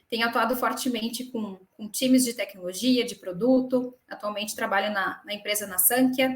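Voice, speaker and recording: A woman's fairly high voice in a Rio Grande do Sul accent, with fairly even intonation. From southern Brazil, Porto Alegre. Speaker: HR professional and live co-host. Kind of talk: live stream panel chat. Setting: online live stream.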